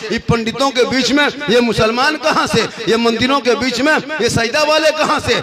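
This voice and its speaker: Over noticeable background noise, a man speaks in a raised, projected voice at an extremely high pitch with lively intonation. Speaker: Islamic preacher. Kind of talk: humorous religious sermon.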